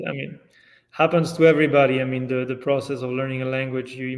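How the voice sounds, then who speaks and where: A man talks at a fairly quick pace with a French accent. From France. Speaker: yearling manager. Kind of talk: podcast interview answer.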